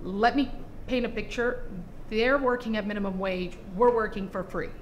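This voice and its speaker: Over audible room echo, a woman talks at a moderate pace with a fairly high pitch and fairly even intonation. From Brazil, Rio de Janeiro; moved to Utah at 8. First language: Portuguese. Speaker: fashion entrepreneur. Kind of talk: podcast interview.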